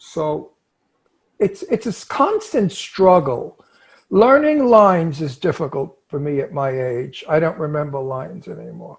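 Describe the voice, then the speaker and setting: A man talks at a fairly slow pace with a Brooklyn accent. His loudness swings widely. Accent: Brooklyn, New York. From New York, Brooklyn. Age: 80s+. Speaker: actor. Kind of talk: casual chat.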